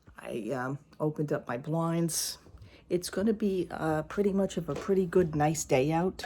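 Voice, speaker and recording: A woman speaks quietly at a moderate pace. Her tone is dark and mellow, with ordinary pitch variation. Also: fairly low pitch for a woman. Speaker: vlogger. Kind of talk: casual chat. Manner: speaking quietly.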